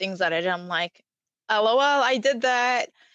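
A woman speaks with a bright, sharp tone. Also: dry, close sound with no echo. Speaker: podcast co-host. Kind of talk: casual chat.

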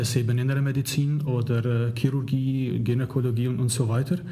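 A man speaks with a non-native accent at a moderate pace. His pitch sits in the medium range, and the room echo is audible. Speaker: leadership professor. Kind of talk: interview. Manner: halting, many fillers.

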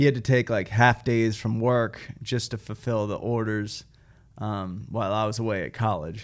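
A man speaks in an ordinary speaking voice with a fairly low pitch and fairly even intonation. His moderate pace is captured on a very clean recording with a silent background. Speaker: operations manager. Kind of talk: casual business chat.

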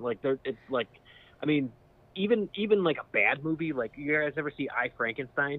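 A man talks in a plain, everyday voice at a moderate pace with lively intonation. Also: fairly high pitch for a man. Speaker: podcast host. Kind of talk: casual chat.

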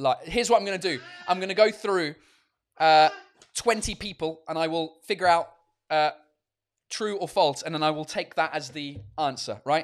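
An animated man with an English accent, fairly high pitch and ordinary pitch variation. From England. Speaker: comedian and podcast host. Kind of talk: casual livestream chat. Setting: video call.

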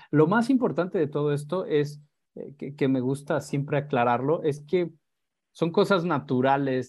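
A man speaks at a fairly slow pace. His pitch is fairly high, with ordinary variation. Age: 30s. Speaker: pet photographer. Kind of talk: interview. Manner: halting.

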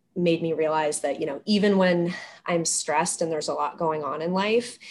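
Her fairly low-pitched voice shows ordinary pitch variation as the woman speaks. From US Northeast, Maine. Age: 30s. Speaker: behavior analyst. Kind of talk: casual interview chat. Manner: animated.

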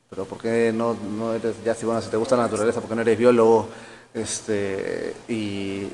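A man talks at a moderate pace in a monotone, flat intonation. Noticeable background noise runs underneath. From Peru, Callao. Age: 40s. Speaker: forest engineer, ecosystem restoration specialist. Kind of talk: interview. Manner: halting, many repetitions.

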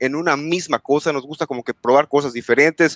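A man talks fairly quickly in a normal speaking voice with fairly even intonation. The sound is dry and close, with no echo. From Yucatán, Mexico. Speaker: gaming content creator. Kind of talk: casual chat.

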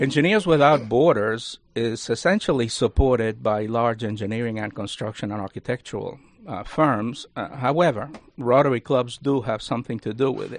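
The speaker is a man at a moderate pace. His loudness swings widely. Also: medium pitch for a man, ordinary pitch variation. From Cuba. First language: Spanish. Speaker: university lecturer and Rotary leader. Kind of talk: radio interview. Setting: studio.

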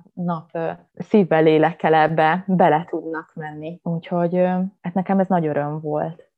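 Using an unremarkable speaking voice, a woman of fairly low pitch speaks at a moderate pace with fairly even intonation. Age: 30s. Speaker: yoga instructor. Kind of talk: casual chat.

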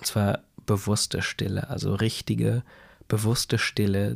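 Soft-spoken and calm in tone, a man with a fairly low pitch talks at a fairly slow pace in a dry, close sound with no echo. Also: very clean recording, silent background. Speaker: podcaster. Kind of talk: spontaneous bedtime story monologue. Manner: calm, soft.

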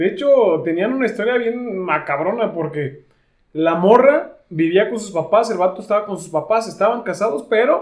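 A man's high-pitched voice moves at a moderate pace, with lively intonation and big swings in loudness. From Mexico, Tepatitlán area of Jalisco. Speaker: urologist podcast host. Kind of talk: casual chat.

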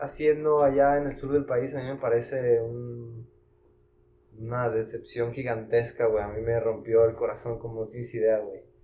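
A man's dark, mellow, somewhat breathy voice at medium pitch, with fairly even intonation and a moderate pace. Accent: Mexican. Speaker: financial administrator, podcast guest. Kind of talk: casual chat.

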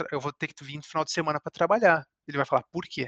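The voice moves at a very fast pace with a bright, sharp tone and fairly even intonation, its sound dry and close with no echo over a quiet background. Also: man. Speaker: chemical engineer. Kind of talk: interview. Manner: halting, many repetitions.

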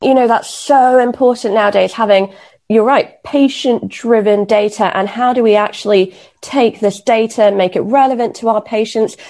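A woman with a fairly high pitch and a dark, mellow tone. She speaks at a moderate pace, with very even loudness and fairly even intonation. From Kenya. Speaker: podcast host and junior doctor. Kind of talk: podcast interview.

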